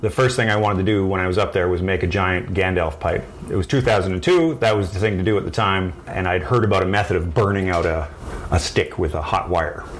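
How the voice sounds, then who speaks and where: A man with a Canadian accent talks at a fairly quick pace in a very deep, low voice, with ordinary pitch variation and very even loudness, over noticeable background noise and audible room echo. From rural midwestern Ontario, Canada. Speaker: wood horn maker. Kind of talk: interview. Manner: halting.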